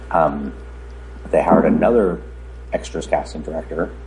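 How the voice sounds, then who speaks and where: The man's pitch is very deep and low, and he talks at a moderate pace. Noticeable background noise is present. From US (born in Romania, moved at four). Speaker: casting director. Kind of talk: interview.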